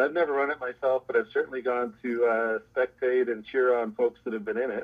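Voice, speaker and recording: At a fairly quick pace, a man with a Canadian accent talks at a medium pitch in a normal speaking voice. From Canada, Toronto. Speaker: law professor. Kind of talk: interview.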